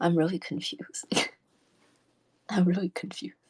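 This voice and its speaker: In a very clean recording with a silent background, a woman speaks at a fairly low pitch with a somewhat breathy voice. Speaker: livestreamer. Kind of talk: casual livestream chat reading comments. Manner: sounds nervous.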